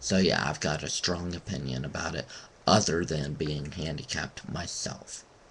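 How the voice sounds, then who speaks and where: A man with a very deep, low voice speaks at a moderate pace with ordinary pitch variation over noticeable background noise. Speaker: vlogger. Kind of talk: webcam rant. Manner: halting.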